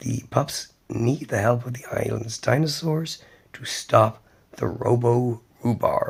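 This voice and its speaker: Whispering and soft-spoken, a man talks at a fairly slow pace. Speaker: cartoon news and review channel host. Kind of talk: casual talk to camera, news review.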